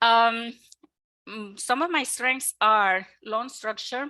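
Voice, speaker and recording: In a Mexican accent, a woman with a bright, sharp tone speaks very slowly, leaving long, frequent pauses. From Mexico. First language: Spanish. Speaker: mortgage lender. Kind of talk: webinar presentation. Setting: online webinar. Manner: hesitant with many fillers.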